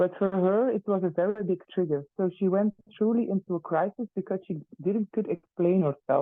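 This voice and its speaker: The speaker talks at a moderate pace in a Flemish accent. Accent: Flemish Dutch accent in English. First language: Dutch. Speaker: teacher. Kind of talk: testimony. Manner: halting, many fillers.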